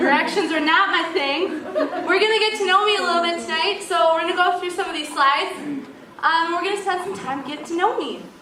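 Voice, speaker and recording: A woman projects her voice at an extremely high pitch, with ordinary pitch variation and a fairly quick pace. Noticeable background noise and audible room echo fill the recording. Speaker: speaker introducing herself to a church group. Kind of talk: casual talk to a group. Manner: loud; animated.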